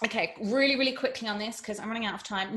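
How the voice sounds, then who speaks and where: With an English accent, a woman speaks at a fairly high pitch with ordinary pitch variation. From England. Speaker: beauty and fitness presenter. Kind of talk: tutorial presentation. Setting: virtual summit presentation. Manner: fast.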